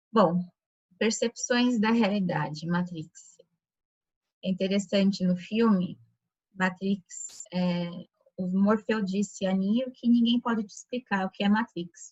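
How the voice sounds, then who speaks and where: A soft-spoken, somewhat breathy woman at a medium pitch, very slow pace and fairly even intonation. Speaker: lecturer at a Rosicrucian chapter. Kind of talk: lecture. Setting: video call.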